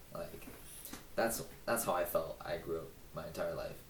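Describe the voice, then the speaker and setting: Amid noticeable background noise and audible room echo, a man talks in an American accent. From Southern California (Palm Springs area). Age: 20s. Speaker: vlogger. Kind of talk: casual monologue. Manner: rambling, halting.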